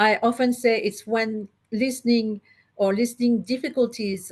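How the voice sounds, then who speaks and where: In a French accent, a woman talks at a fairly slow pace with fairly even intonation. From France. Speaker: psychologist and listening therapy practitioner. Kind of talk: interview. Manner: halting, with many fillers.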